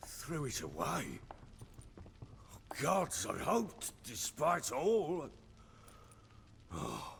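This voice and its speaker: A man puts on a raspy character voice, going at a very slow pace with long, frequent pauses over clear background noise. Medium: video game. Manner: coarse, blunt, cursing.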